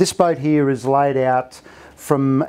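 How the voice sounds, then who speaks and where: The man speaks fairly slowly. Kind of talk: guided product walkthrough. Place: boat.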